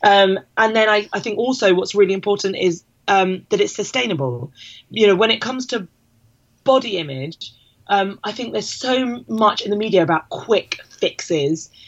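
At a moderate pace, a woman with a plain, everyday voice and medium pitch speaks with lively intonation. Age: 30s. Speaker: fitness campaign founder and mum. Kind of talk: casual interview chat.

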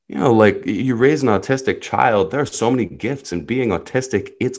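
Over a quiet background, a man speaks with lively intonation and vocal fry. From New Jersey. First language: Hebrew. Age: 30s. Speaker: life coach. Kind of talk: interview.

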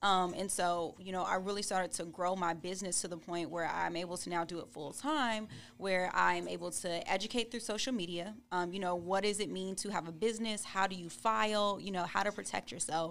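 A plain, everyday voice from a woman, medium in pitch with ordinary pitch variation, fairly quick and with hardly any pauses. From California. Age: 20s. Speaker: attorney. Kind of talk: casual interview.

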